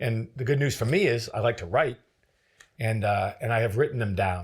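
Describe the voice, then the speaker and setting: Somewhat breathy male voice with an American accent and ordinary pitch variation, on a very clean recording with a silent background. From northern New Hampshire, US. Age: 60s. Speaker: former federal agent and author. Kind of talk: interview conversation. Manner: halting, repeats words.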